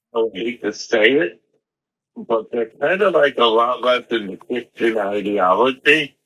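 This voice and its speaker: A man with a New York accent speaks fairly slowly at a medium pitch. His tone is bright and sharp. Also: ordinary pitch variation. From Long Island, New York. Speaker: guest, former schoolmate. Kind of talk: casual interview.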